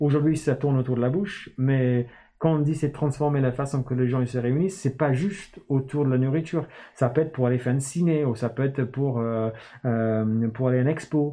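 A man with an English accent, medium pitch, fairly even intonation, very even loudness and a fairly quick pace. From northern England, Newcastle. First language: English (speaking French). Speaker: startup founder. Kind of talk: casual interview.

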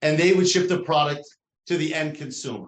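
A man with a New Jersey accent, fairly high in pitch, with fairly even intonation. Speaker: interview guest, company president.

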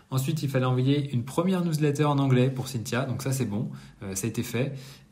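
In a room with audible echo, a man speaks at a moderate pace with ordinary pitch variation. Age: 30s. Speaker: entrepreneur vlogger. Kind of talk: monthly business debrief monologue. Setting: apartment under renovation. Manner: casual, hesitant with many fillers. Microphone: no usual microphone, poorer sound.

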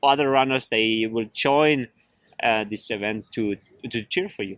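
A man in a German accent talks at a fairly slow pace. His bright, sharp tone comes through with a dry, close sound and no echo. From Germany, near Innsbruck. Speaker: trail runner. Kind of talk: interview.

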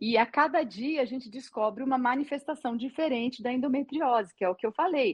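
A woman talks with a high pitch and keeps a moderate pace. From Minas Gerais, Brazil. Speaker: gynecologist. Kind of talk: interview on live stream. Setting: live video stream.

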